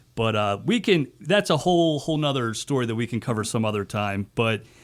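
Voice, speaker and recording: Delivered at a fairly quick pace, the voice makes very wide pitch swings. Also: man. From Baltimore. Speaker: radio host. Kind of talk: radio interview.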